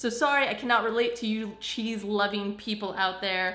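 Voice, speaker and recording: Noticeable background noise sits behind a woman with an American accent. She talks at a fairly high pitch and a fairly quick pace. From US Northeast, Long Island, New York. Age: 30s. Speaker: vlogger. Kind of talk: casual chat. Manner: animated.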